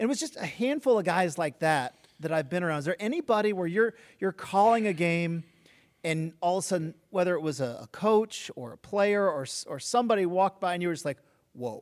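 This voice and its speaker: Lively intonation and a fairly quick pace mark this voice with an American accent. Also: man, high pitch for a man, dry, close sound with no echo. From Oregon. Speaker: podcast host. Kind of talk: interview.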